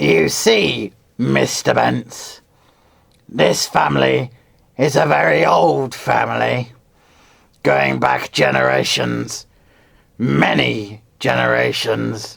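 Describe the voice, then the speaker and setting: A man puts on a raspy character voice with a very deep, low pitch and lively intonation. He speaks at a very slow pace with long, frequent pauses, keeping his loudness very even. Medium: read story. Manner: formal, smoothly insistent.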